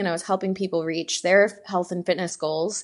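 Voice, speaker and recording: A woman talks in an ordinary speaking voice at medium pitch with fairly even intonation. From Texas, Houston. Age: 20s. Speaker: fitness YouTuber and bikini competitor. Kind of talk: casual chat.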